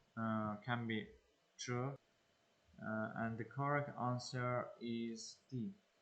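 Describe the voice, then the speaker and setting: A man with a non-native accent at a medium pitch, a very slow pace with long, frequent pauses, very even loudness and fairly even intonation. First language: not English. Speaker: English learner and exam-prep tutor. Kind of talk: tutorial. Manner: halting, many fillers.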